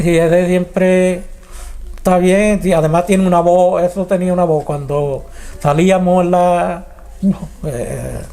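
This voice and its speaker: A man with an Andalusian accent talks at a fairly slow pace, with a high pitch and monotone, flat intonation. Long pauses come often, and background noise is noticeable. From Arcos de la Frontera, Andalusia, Spain. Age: 70s. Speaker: retired carnival singer and lyricist. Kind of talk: interview answer.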